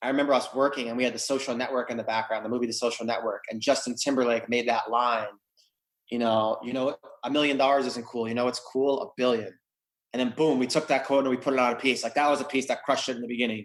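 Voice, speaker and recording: Talking at a very fast pace, a man speaks at a medium pitch. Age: 30s. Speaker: entrepreneur, art company co-founder. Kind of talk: interview. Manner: animated.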